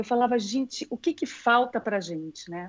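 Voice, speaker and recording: This woman speaks at a fairly high pitch with lively intonation. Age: 50s. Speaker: dance teacher and former ballerina. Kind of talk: casual interview. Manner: unhurried, pleasant delivery.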